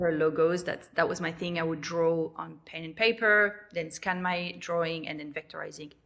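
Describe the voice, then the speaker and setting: This woman has a French accent and a fairly low pitch, with fairly even intonation. She speaks at a moderate pace, and her loudness swings widely. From New Caledonia. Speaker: lettering artist and online teacher. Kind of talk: podcast interview. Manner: hesitant, many fillers.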